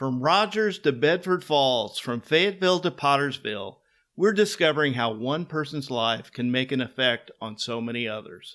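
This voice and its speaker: This is a very clean recording with a silent background. A man speaks with a Midwestern American accent. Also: medium pitch for a man, lively intonation, moderate pace. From western Kansas. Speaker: podcast host. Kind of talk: scripted show intro; interview.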